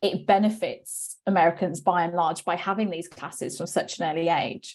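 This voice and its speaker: A woman speaks with a British accent at a moderate pace. Her tone is dark and mellow. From UK. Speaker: webinar host, company CEO. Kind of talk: interview.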